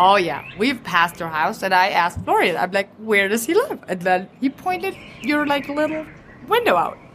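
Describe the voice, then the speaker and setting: With a German accent, the speaker's pitch swings very widely over noticeable background noise. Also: woman, fairly high pitch for a woman, moderate pace. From rural Germany. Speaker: teacher. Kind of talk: casual chat. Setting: restaurant.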